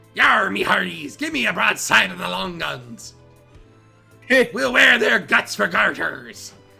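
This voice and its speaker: Using a put-on character voice, a man speaks at a medium pitch. His pace is fairly slow, with faint music in the background. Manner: swaggering, bold.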